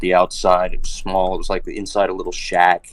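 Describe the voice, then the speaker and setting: A man with an American accent, talking at a fairly quick pace, in a dry, close recording with no echo. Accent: Texan accent, comes out a lot. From Texas. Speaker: voice actor and military service member. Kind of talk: casual chat on a livestream. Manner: animated.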